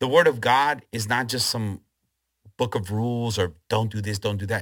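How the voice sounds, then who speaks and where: A man talks at a moderate pace with a medium pitch. The recording is very clean, with a silent background. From Chile, then Los Angeles. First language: Spanish. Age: 40s. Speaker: pastor. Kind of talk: preaching; interview.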